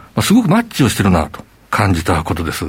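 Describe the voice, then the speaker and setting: This man's pitch swings very widely. Vocal fry runs through his speech. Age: 50s. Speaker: company CEO. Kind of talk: interview. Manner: formal.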